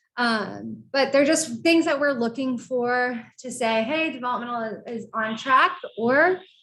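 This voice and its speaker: In a room with audible echo, a woman with a high pitch speaks at a fairly slow pace using ordinary pitch variation. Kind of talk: lecture. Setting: seated presentation.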